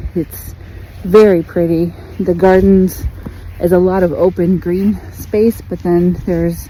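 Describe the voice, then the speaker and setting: Noticeable background noise behind a woman talking fairly slowly. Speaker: travel vlogger. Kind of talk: casual vlog narration. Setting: outdoors. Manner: quiet, talking low.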